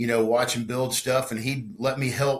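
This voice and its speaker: In a Texan accent, the speaker talks at a fairly slow pace with flat, monotone intonation. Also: man. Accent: Texan Southern US. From Texas, Conroe / north Houston area. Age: 50s. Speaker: guitar builder and musician. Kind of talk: casual interview chat. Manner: halting, many repetitions and fillers.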